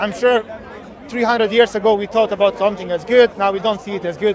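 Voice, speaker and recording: A man's high-pitched, very fast voice with a Bosnian accent, crowd noise behind him. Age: 30s. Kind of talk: street debate. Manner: halting.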